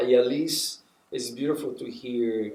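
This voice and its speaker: A man at a fairly slow pace, with a Spanish accent. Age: 60s. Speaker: puppeteer and professor. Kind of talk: interview. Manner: halting, with many restarts.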